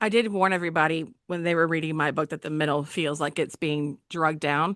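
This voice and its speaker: A woman with a very deep, low voice speaks at a fairly quick pace in a Southern US accent. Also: fairly even intonation, quiet background. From Alabama, US South. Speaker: book channel host and author. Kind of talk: interview.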